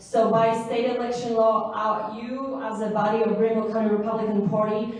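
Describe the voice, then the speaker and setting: Audible room echo and noticeable background noise surround a woman whose voice sits at a fairly high pitch. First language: not English. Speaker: local party organizer. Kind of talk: training presentation.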